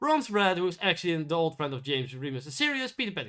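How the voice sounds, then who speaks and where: In a very clean recording with a silent background, a man speaks very fast with lively intonation. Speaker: YouTube film reviewer. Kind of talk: casual video review monologue. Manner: halting, many repeats and restarts; mumbling.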